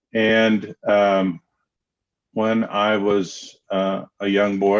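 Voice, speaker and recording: This man has a Southern US accent. His pitch is very deep and low. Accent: Southern drawl. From US South, Knoxville, Tennessee. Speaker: counselor. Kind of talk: interview. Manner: hesitant, many fillers.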